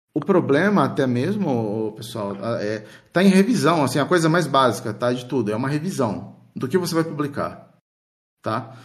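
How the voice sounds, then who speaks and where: A fairly high male voice with very wide pitch swings. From Sao Paulo state, Brazil. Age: 40s. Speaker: Xbox fan site founder and podcaster. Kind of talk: casual chat.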